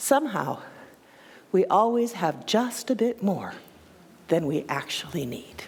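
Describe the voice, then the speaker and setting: At a medium pitch and a fairly slow pace, a woman speaks with very wide pitch swings and long, frequent pauses. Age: 60s. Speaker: minister. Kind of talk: sermon. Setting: church.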